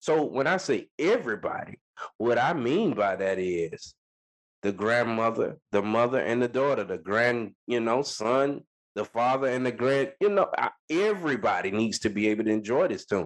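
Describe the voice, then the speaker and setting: A plain, everyday voice speaks at a moderate pace in an American accent with lively intonation. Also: man, medium pitch for a man. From Florida. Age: 20s. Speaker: musician. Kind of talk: interview.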